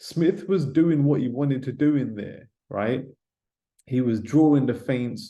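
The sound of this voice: The voice has a dark, mellow tone and ordinary pitch variation. It moves at a fairly slow pace. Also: man.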